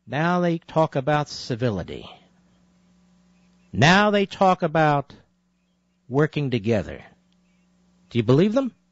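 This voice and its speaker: A man's fairly high voice at a fairly slow pace, with very wide pitch swings and long, frequent pauses. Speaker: conservative talk radio host. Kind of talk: talk radio monologue. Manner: emphatic, passionate.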